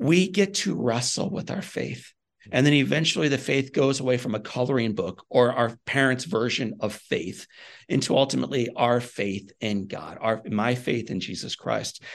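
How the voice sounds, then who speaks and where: A man with an American accent speaks at a medium pitch, with lively intonation. Vocal fry runs through his voice. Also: moderate pace. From US Midwest. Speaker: inspirational speaker. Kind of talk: interview.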